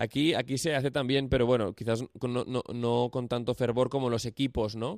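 In a very clean recording with a silent background and a dry, close sound with no echo, a man with an ordinary speaking voice and a medium pitch talks at a moderate pace with fairly even intonation and hardly any pauses. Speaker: radio host. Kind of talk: radio interview.

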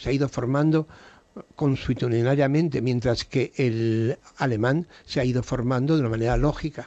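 This dark, mellow voice moves at a moderate pace with ordinary pitch variation. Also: man. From Spain, raised abroad as diplomat's son (USA, Belgium). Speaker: painter and TV personality. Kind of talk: late-night radio interview.

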